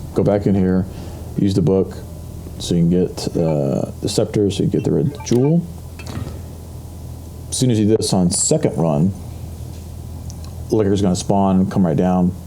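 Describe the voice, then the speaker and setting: This man's voice is very deep and low, with ordinary pitch variation and a moderate pace. He leaves long, frequent pauses, and noticeable background noise is present. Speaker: gamer. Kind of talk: gameplay commentary. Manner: casual, hesitant.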